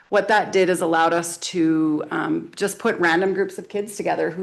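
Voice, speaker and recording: A woman's fairly low voice, monotone and flat, at a moderate pace with audible room echo. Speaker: school vice principal. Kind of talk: presentation to town council. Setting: council meeting with microphones. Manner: loud.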